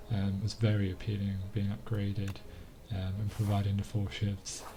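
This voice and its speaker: At a moderate pace, the speaker's monotone, flat intonation comes through noticeable background noise and audible room echo. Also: man, fairly low pitch for a man. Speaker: gaming commentator. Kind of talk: gameplay voiceover. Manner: hesitant, many fillers.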